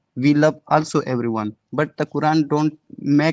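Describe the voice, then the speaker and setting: With a non-native accent, a man speaks at a moderate pace and fairly high pitch, his intonation fairly even, in a dry, close sound with no echo. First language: not English. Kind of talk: call-in debate. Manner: halting.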